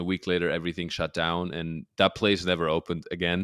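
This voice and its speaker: The voice carries a German accent and moves at a fairly quick pace. The sound is dry and close, with no echo. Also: man, very clean recording, silent background. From Germany. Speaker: comedian and social media creator. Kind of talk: casual interview chat.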